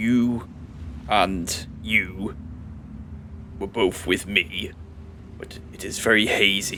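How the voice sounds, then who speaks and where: Using a put-on character voice, a man with a fairly low pitch talks at a very slow pace, with big swings in loudness, long, frequent pauses and clear background noise behind him. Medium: actual play.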